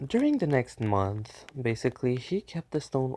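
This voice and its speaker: Soft-spoken and fairly slow, a man talks in a dark, mellow tone with a dry, close sound, no echo, and a very clean recording with a silent background. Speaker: fan fiction storyteller. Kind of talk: improvised story narration. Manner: halting.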